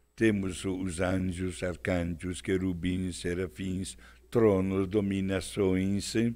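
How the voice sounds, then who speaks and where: Audible room echo surrounds a man whose very deep, low voice has a dark, mellow tone, fairly even intonation and a very slow pace. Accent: Italian. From Italy, Milan. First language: Italian (speaking Portuguese). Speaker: priest. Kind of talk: religious talk show discussion.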